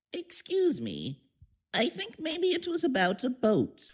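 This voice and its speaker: A woman puts on a character voice, pitched high and swinging very widely up and down. She speaks at a fairly slow pace. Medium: audio drama. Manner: dithery, friendly.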